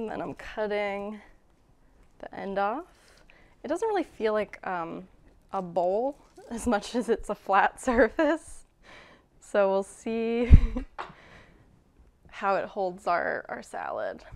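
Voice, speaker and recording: The speech has big swings in loudness and long, frequent pauses. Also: woman. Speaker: home cook host. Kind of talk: casual cooking tutorial. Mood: light, amused. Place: kitchen.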